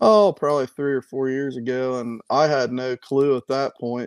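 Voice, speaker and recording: A man talks with an American accent at a moderate pace. His intonation is monotone and flat. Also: dry, close sound with no echo. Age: 30s. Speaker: tackle maker, small business owner. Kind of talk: casual chat.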